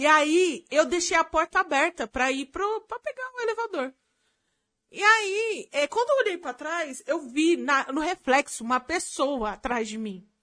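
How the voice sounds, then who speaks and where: Projecting her raised voice at a fairly slow pace, a woman speaks at an extremely high pitch with very wide swings, the sound dry and close with no echo. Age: 20s. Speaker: video editor. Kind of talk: casual chat.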